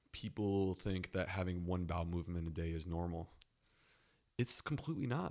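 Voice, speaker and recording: Very deep and low, a man's voice with an American accent moves at a fairly quick pace, with ordinary pitch variation and very even loudness. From upstate New York. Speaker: gastroenterologist. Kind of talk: interview. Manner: animated.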